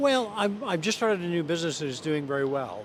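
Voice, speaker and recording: Fairly high male voice with an American accent, very wide pitch swings and audible room echo. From US, California (Pasadena). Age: old. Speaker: semi-retired architect, street interviewee. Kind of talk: street interview.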